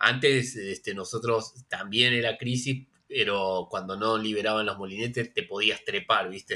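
With an Argentine accent, a man speaks at a fairly slow pace with hardly any pauses, a medium pitch, fairly even intonation and a bright, sharp tone. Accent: Rioplatense Argentine Spanish. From Buenos Aires western suburbs, Argentina. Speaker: novelist. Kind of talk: interview. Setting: video call.

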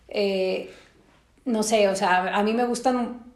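In a Mexican accent, a woman speaks at a medium pitch with fairly even intonation and audible room echo. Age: 30s. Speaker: psychologist and podcast host. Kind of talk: casual chat.

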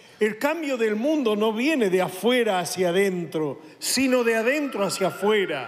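A man with a high voice swings his pitch very widely, keeping his loudness very even and barely pausing at a fairly slow pace, with audible room echo and noticeable background noise. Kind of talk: sermon.

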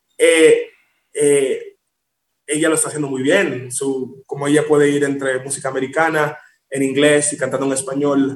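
Monotone and flat, a man with a fairly high pitch speaks at a moderate pace. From Miami, Dominican-born. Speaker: singer. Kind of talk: interview.

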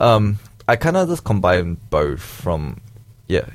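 There is vocal fry in this man's voice. His intonation is lively. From Malaysia. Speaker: podcast producer behind the scenes, guest. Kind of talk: casual chat.

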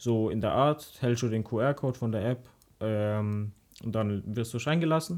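At a fairly slow pace, a man talks at a medium pitch in an ordinary speaking voice, in a very clean recording with a silent background. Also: ordinary pitch variation. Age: young. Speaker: podcast co-host. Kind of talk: casual chat.

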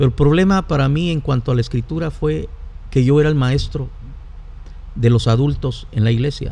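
Pausing long and often, a man talks at a moderate pace in a fairly high voice with ordinary pitch variation. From Guatemala. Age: 50s. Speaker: pastor. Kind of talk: casual chat. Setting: studio.

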